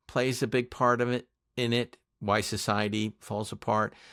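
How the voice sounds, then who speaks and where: A man speaks at a moderate pace in an unremarkable speaking voice, medium in pitch and with an American accent, the sound dry and close with no echo. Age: 60s. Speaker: podcast producer and co-host. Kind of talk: casual interview chat.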